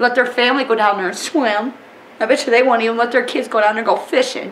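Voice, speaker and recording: Over noticeable background noise, a woman speaks fairly quickly at a fairly high pitch with ordinary variation. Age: 40s. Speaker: oil spill affected resident. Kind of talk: emotional testimony. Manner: animated.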